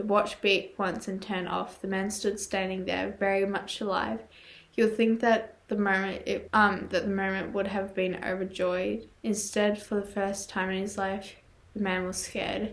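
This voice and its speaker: Quiet and monotone, a woman talks at a moderate pace in a medium pitch with flat intonation. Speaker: YouTuber reading horror stories. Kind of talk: reading aloud with commentary. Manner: halting, stumbles over words.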